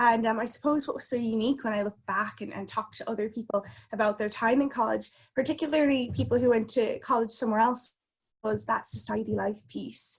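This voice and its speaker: Fairly high-pitched with vocal fry, a woman with an American accent speaks at a fairly quick pace and with fairly even intonation. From US, Connecticut. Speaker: consultant. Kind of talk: interview.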